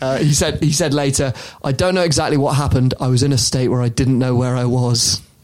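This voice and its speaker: Over noticeable background noise, a man talks very fast at a medium pitch, his loudness very even and his intonation fairly even. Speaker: podcast host. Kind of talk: casual chat, comedic podcast banter.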